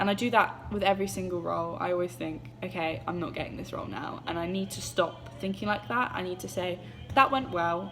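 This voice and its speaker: A woman's fairly low, lively voice with hardly any pauses, over music in the background. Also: fairly quick pace. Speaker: drama student. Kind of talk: self-reflection monologue. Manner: hesitant, with fillers.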